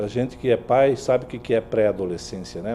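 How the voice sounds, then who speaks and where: Music plays behind a man who talks fairly quickly in a medium pitch with fairly even intonation. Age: 60s. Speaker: journalist. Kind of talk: interview.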